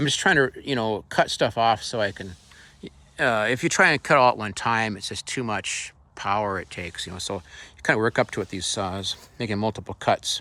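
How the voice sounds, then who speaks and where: A man talks at a fairly quick pace and medium pitch in a bright, sharp tone. The recording is very clean, with a silent background. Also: ordinary pitch variation. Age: 60s. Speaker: carpenter and home builder. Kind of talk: tool demonstration. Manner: casual and halting, with fillers.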